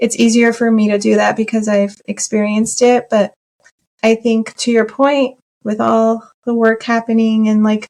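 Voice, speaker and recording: A woman with an American accent, fairly high pitch, monotone, flat intonation, very even loudness and a moderate pace. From US, child of Iranian immigrants. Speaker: interview guest, corporate employee. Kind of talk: podcast interview. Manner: hesitant with many fillers.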